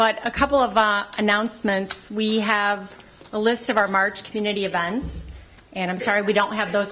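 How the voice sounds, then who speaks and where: A woman speaks in an unremarkable speaking voice at a medium pitch. Her pace is moderate and her intonation fairly even. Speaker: events coordinator. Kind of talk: announcements at community meeting.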